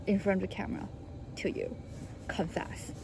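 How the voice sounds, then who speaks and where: A woman speaks at a moderate pace with a Chinese accent. Her pitch sits in the medium range. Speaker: vlogger, international student. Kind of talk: personal vlog monologue. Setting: recording alone to camera. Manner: halting, many fillers and restarts.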